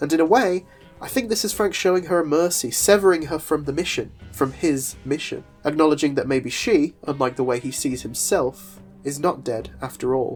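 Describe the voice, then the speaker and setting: The speech moves at a moderate pace. Music plays underneath. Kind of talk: comic book video essay narration.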